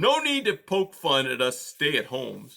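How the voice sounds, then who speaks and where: Putting on a character voice, a man speaks high-pitched at a moderate pace. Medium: read story.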